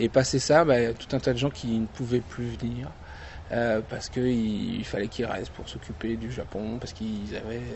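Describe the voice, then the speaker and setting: A man's medium-pitched voice at a moderate pace, with ordinary pitch variation, big swings in loudness and noticeable background noise. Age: 30s. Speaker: convention founder. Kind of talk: interview. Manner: hesitant, many fillers.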